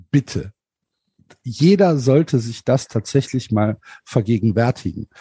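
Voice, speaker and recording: A man's somewhat breathy voice, medium in pitch and dark and mellow in tone, at a very slow pace with ordinary pitch variation and a dry, close sound with no echo. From Germany, Cologne. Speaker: podcaster and football fan. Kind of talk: casual chat.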